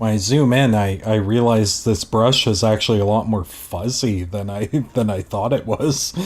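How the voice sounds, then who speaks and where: A man with a Canadian accent talks at a moderate pace, his pitch fairly low and his intonation fairly even. Noticeable background noise runs under his voice. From Canada. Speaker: streamer, digital artist. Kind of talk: casual chat. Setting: live art stream.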